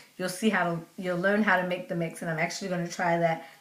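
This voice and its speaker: A woman talks at a very fast pace with a medium pitch. Noticeable background noise can be heard behind her. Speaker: natural hair vlogger. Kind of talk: casual vlog talk.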